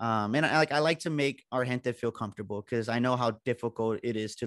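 Speaking fairly quickly, a man holds a medium pitch and ordinary pitch variation.

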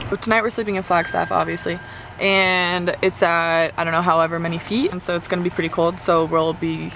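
A woman's fairly low voice with ordinary pitch variation at a moderate pace, dry with no echo over noticeable background noise. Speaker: vlogger. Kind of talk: casual vlog chat. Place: car. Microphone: phone near.

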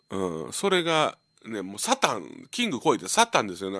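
With a Kansai accent, a man speaks at a moderate pace on a very clean recording with a silent background. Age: 50s. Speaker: radio host, comedian. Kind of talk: live radio monologue. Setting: radio studio with empty gallery. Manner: casual, filler-heavy with laughs.

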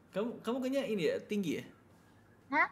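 A man talks with lively intonation. There is light background noise behind him. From Indonesia. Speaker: live streamer. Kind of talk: casual chat. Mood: playful, joking. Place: home room.

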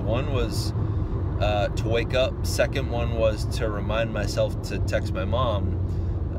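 The speech is very slow, with a dry sound and no echo. Loud background noise fills the clip. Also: man. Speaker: math teacher vlogger. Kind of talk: casual vlog chat. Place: car. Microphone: phone near.

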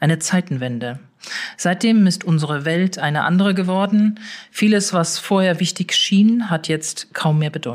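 At a moderate pace, a woman speaks in an unremarkable speaking voice, fairly low in pitch with ordinary variation. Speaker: newspaper political editor, podcast host. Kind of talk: podcast introduction.

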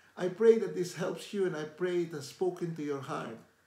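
Lively intonation and a dark, mellow tone from a man, with audible room echo. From Philippines. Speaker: lay preacher. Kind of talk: devotional talk to camera. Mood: warm, earnest. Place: home room. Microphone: phone near.

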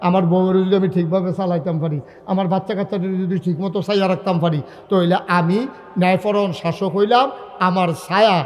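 With music playing in the background, a man speaks at a high pitch. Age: 50s. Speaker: preacher. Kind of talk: sermon. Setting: stage with audience. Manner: animated.

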